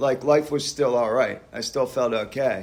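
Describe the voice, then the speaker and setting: A man talks fairly slowly at a fairly high pitch with ordinary pitch variation, an ordinary speaking voice. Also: very clean recording, silent background. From US, Pennsylvania (Doylestown area). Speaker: recovering alcoholic speaker. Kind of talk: recovery meeting testimony. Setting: church hall meeting with audience.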